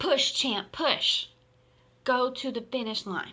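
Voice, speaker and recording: A woman shouts in a put-on character voice pitched high, moving at a fairly slow pace. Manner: shouting, urging.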